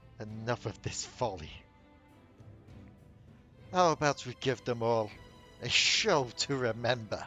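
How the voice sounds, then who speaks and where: Over clear background music, a man growls in a put-on character voice at a medium pitch, moving fairly slowly with long, frequent pauses. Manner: growling.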